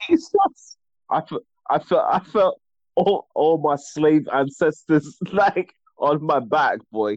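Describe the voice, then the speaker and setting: Very slow pace in a dry, close sound with no echo. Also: man. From Barbados. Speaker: guest. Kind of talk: casual chat.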